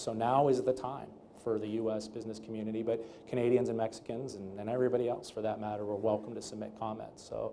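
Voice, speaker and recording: The voice moves at a very fast pace with monotone, flat intonation. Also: man. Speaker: trade lawyer. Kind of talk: panel interview. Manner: loud; fast with many fillers.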